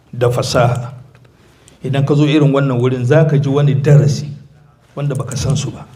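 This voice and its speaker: In an African accent, a man speaks fairly quickly at a fairly high pitch with fairly even intonation. Audible room echo surrounds his voice. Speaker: visiting Islamic preacher. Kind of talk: sermon with interpretation. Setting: mosque.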